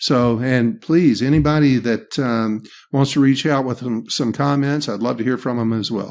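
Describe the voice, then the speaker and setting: The speaker is a man with a Southern US accent. His recording is very clean, with a silent background. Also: medium pitch for a man, ordinary pitch variation, moderate pace. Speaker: leadership trainer. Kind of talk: podcast interview.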